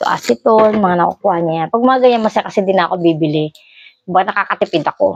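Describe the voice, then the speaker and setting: A woman with a plain, everyday voice talks at a fairly quick pace and a medium pitch with ordinary pitch variation, in a dry, close sound with no echo. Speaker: vlogger. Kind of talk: casual vlog, showing items.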